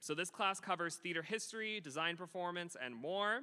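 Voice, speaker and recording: A man speaks loudly. His pitch varies in an ordinary way. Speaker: middle school theater teacher. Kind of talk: award ceremony speech. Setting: school ceremony with audience. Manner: animated.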